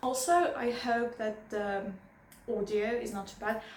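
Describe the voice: In a nervous tone, the speaker talks at a fairly slow pace with fairly even intonation. Strong room echo fills the recording. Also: woman.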